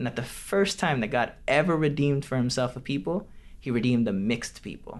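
A man with an American accent speaks at a fairly quick pace. His medium-pitched voice has lively intonation. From Detroit, Michigan, US. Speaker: podcast host and Bible institute teacher. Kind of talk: casual podcast conversation with interview.

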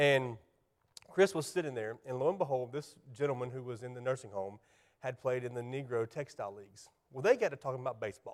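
Speaking very fast with a South Carolina accent, a man keeps a medium pitch with ordinary pitch variation and big swings in loudness. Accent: Southern US (South Carolina). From US South, South Carolina. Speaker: church ministry specialist, guest preacher. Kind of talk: sermon. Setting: church.

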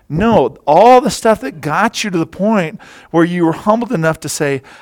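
This man's voice sits high and swings very widely in pitch. His tone is animated. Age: 50s. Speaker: lay preacher filling in for pastor. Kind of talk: sermon.

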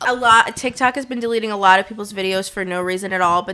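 A woman talks at a fairly quick pace. She has an ordinary speaking voice with medium pitch. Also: very clean recording, silent background. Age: 20s. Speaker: social media influencer. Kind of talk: casual chat.

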